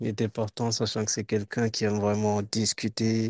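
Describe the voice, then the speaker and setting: Recorded very cleanly against a silent background, a man speaks at medium pitch with a dark, mellow tone in a dry, close sound with no echo. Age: 20s. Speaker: podcast co-host. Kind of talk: casual chat.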